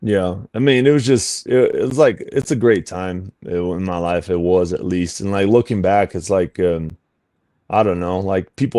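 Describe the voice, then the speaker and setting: With a Portuguese accent, a man speaks at a moderate pace. His very deep, low voice has a dark, mellow tone. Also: very clean recording, silent background. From Brazil. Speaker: fitness coach. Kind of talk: interview. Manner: casual, full of fillers.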